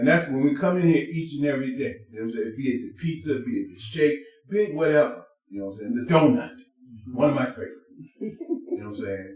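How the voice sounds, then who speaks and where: A man with a fairly high voice at a very fast pace, with long, frequent pauses, big swings in loudness, very wide pitch swings and audible room echo. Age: 60s. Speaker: vegan restaurant crew member. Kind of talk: casual podcast chat.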